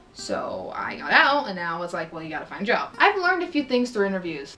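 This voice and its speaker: Over music in the background, a woman speaks at a very fast pace in an animated tone. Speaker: vlogger. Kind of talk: storytelling vlog.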